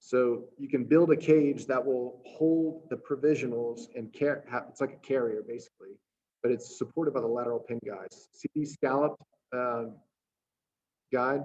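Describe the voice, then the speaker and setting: Long, frequent pauses break up a dark, mellow voice with fairly even intonation and big swings in loudness. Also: man. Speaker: dental implant lecturer. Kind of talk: lecture. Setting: webinar. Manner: fast.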